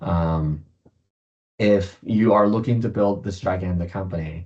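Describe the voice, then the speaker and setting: A man's very deep, low-pitched voice, somewhat breathy, at a moderate pace with fairly even intonation. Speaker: startup founder and investor giving a keynote. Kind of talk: keynote presentation with slides. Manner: many filler words and self-corrections.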